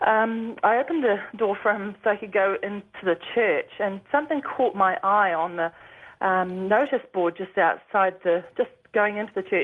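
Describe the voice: A woman speaks at a moderate pace in a New Zealand accent, with a medium pitch and ordinary pitch variation. She makes few pauses.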